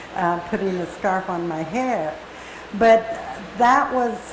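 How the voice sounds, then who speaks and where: A woman at medium pitch and a very slow pace, with audible room echo and noticeable background noise. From Kamiah, Idaho (Nez Perce). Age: 70s. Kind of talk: personal talk to an audience. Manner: halting, many fillers.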